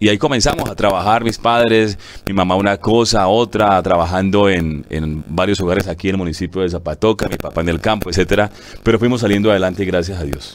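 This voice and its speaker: A man's very deep, low voice at a very fast pace with ordinary pitch variation. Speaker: radio announcer and director of a local radio station. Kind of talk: interview answer telling personal life story. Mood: warm, grateful storytelling. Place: studio. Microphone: lapel.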